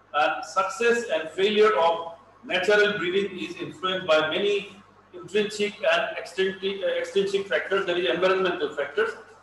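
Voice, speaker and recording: A man with a high pitch and ordinary pitch variation speaks at a moderate pace. Audible room echo and light background noise are present. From Assam, India. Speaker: veterinarian, elephant expert; lecturer on elephant breeding. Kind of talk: lecture. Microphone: video call.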